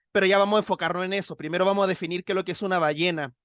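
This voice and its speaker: The speaker goes at a very fast pace over a quiet background. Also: man. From Chile. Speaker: science communicator. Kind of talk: interview.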